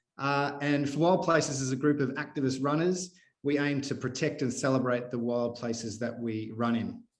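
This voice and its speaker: With a strong Australian accent, the speaker keeps a moderate pace, ordinary pitch variation, and hardly any pauses. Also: man, fairly high pitch for a man. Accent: broad Australian. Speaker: podcast host, activist runner. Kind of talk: casual interview. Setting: video call.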